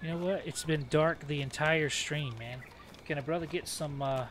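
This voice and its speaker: Fairly high-pitched male voice, its pitch varying in an ordinary way. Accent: Southern US. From US South. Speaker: video game streamer. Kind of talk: live gameplay commentary. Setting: home.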